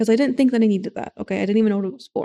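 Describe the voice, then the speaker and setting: Mumbling in a dark, mellow tone, a woman speaks with ordinary pitch variation, and the sound is dry and close with no echo. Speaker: livestreamer. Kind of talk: casual chat. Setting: home livestream at desk. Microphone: desk mic tilted close.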